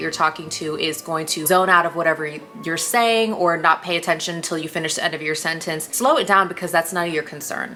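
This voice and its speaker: The speech comes at a very fast pace, with noticeable background noise behind it. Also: woman. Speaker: lifestyle YouTuber. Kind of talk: casual advice talk to camera.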